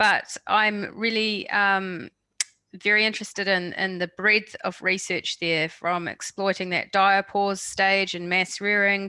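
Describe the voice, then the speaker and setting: A woman's medium-pitched, bright and sharp voice, monotone and flat, at a fairly slow pace, with a dry, close sound and no echo. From New Zealand. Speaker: webinar moderator. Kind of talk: webinar Q&A.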